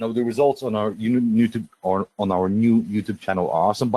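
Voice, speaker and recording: The voice has a dark, mellow tone and fairly even intonation, moving at a fairly quick pace with a dry, close sound and no echo. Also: man, medium pitch for a man. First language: Russian. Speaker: webinar presenter. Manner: swallows words.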